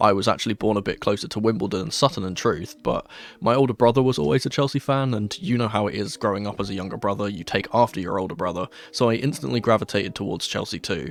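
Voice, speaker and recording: With a London accent, a man speaks very fast in a fairly low voice with lively intonation. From London, southwest. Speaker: football fan YouTuber. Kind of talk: Q&A vlog monologue.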